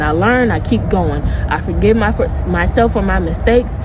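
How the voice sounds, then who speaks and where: Audible room echo, with music in the background. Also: woman. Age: 20s. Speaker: spiritual YouTuber. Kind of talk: casual vlog monologue. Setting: outdoors in backyard. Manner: animated.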